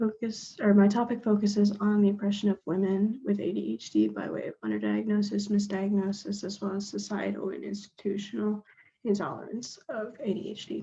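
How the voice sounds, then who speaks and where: Her voice somewhat breathy with a dark, mellow tone, a woman speaks at a moderate pace and medium pitch with fairly even intonation and hardly any pauses. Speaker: college student. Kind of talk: class presentation. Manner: reading from notes.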